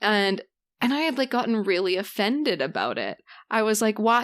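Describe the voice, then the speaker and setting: On a very clean recording with a silent background, a woman in a Canadian prairie accent speaks at a moderate pace with a medium pitch and ordinary pitch variation. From Canada, southern Saskatchewan (rural). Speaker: interview guest discussing mental health. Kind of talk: casual interview conversation. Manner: gets loud when excited.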